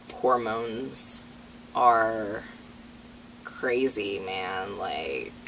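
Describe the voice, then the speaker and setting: A man at a very slow pace, with long, frequent pauses and audible room echo. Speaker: transgender vlogger. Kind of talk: personal vlog update. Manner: hesitant, many fillers.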